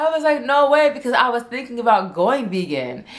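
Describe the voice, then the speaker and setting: A woman's voice swings very widely in pitch, with audible echo from the room. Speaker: vlogger. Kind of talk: casual chat. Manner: stuttering.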